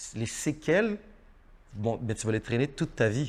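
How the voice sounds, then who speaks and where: Using lively intonation, a man speaks with a Haitian accent. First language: Haitian Creole (speaking French). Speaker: actor. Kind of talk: interview. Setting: studio. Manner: halting, repeats words.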